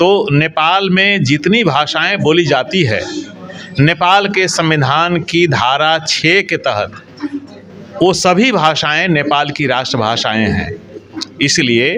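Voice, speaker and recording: With crowd noise in the background, a man speaks in a Bihari accent at a fairly high pitch with lively intonation. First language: Bhojpuri (speaking Hindi). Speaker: language commission chair. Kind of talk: interview.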